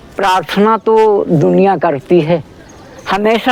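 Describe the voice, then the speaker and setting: A man's high-pitched voice with lively intonation, over noticeable background noise. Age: 70s. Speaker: elderly yoga practitioner. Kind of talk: casual chat.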